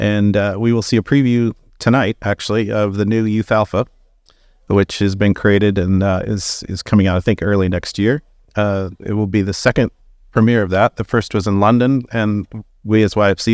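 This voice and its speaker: A fairly low-pitched man at a fairly quick pace, fairly even intonation, dry and close with no echo over a quiet background. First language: German. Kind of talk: live conference interview.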